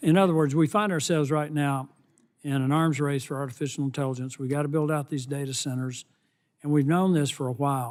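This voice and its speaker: A man with a Southern US accent talks very fast in a fairly high voice, his intonation fairly even. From US South. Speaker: congressman. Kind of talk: congressional hearing questioning. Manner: halting.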